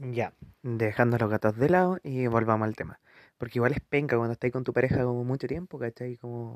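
A man with a Chilean accent talks fairly quickly at a medium pitch. His pitch varies normally, and the sound is dry and close with no echo. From Chile, Curicó (Maule region). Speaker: podcaster. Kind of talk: casual monologue. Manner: animated.

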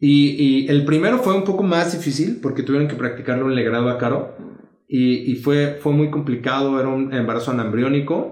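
A man with a fairly high voice speaks at a fairly quick pace with ordinary pitch variation, and audible room echo. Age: 30s. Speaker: dentist and youth pastor. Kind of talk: casual interview chat.

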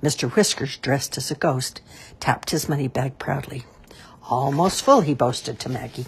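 The reading voice sounds natural. Ordinary pitch variation runs through it.

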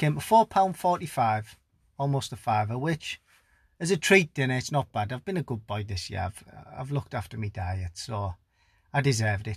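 A man with a northern English accent speaks at a medium pitch and moderate pace, his voice somewhat breathy with very wide pitch swings, recorded dry and close with no echo. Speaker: podcast host. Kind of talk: comedic monologue. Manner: low energy.

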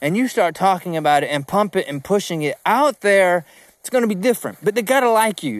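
A man speaks fairly quickly in a high voice with a slight Southern US accent and lively intonation. The sound is dry and close with no echo, on a very clean recording with a silent background. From South Georgia, US. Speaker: podcast host, sales coach. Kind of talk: solo podcast monologue. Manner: casual, chatty, animated.

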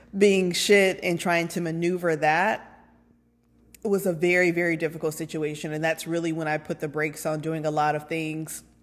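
A woman talks at a moderate pace in a fairly low voice. Her intonation is monotone and flat. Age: 30s. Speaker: podcast host and lactation consultant. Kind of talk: solo personal podcast monologue. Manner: casual, with frequent fillers.

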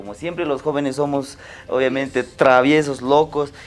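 Speaking at a fairly quick pace, a man with a fairly high pitch has a normal speaking voice. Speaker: podcast host. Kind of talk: casual interview.

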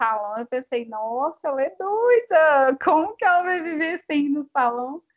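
A woman speaks with lively intonation. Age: 20s. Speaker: psychologist and doula. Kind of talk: casual interview.

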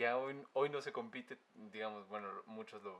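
Fairly even intonation and a moderate pace come through despite noticeable background noise. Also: man. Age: 20s. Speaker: podcast host, musician. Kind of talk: casual chat.

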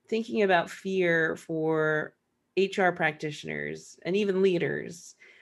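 A plain, everyday voice with ordinary pitch variation. The background is quiet. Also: woman. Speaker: podcast host. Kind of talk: casual interview conversation.

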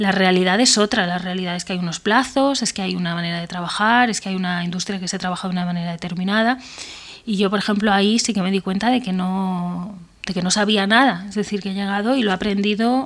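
At a fairly quick pace, a woman talks in an unremarkable speaking voice at medium pitch. Her intonation stays fairly even. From Spain, Benavente (Zamora). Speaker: screenwriter. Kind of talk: interview. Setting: remote call from home.

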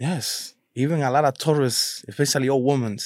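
On a very clean recording with a silent background, a man at medium pitch speaks with fairly even intonation, the sound dry and close with no echo. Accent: Spanish. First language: Spanish. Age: 30s. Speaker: delivery driver who went viral. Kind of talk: casual interview chat.

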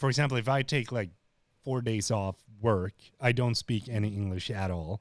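On a very clean recording with a silent background, a man speaks at a moderate pace, his medium pitch showing ordinary variation. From Sweden. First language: Swedish. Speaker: YouTube creator. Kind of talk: casual interview.

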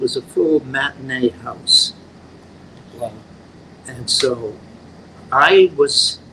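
A man at a very slow pace, with ordinary pitch variation and noticeable background noise. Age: 80s. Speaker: actor. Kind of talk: casual chat. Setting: at the guest's home.

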